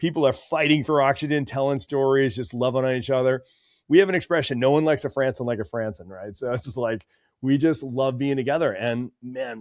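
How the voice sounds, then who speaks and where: A man with a normal speaking voice, an American accent, a medium pitch and ordinary pitch variation, on a very clean recording with a silent background and a dry, close sound with no echo. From Massachusetts, north of Boston. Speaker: chiropractor and practice coach. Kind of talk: podcast interview.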